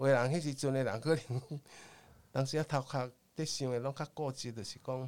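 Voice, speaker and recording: A man of medium pitch speaks fairly quickly with a Taiwanese accent, using long, frequent pauses and fairly even intonation. The recording is very clean, with a silent background. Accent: Taiwanese Hokkien-accented Mandarin. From Taiwan, Tainan. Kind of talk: storytelling interview.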